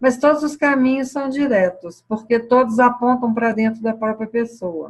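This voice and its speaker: A woman speaks in a somewhat breathy voice. Her pitch variation is ordinary. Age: 60s. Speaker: spiritual teacher. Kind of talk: satsang talk answering questions. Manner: hesitant, many fillers.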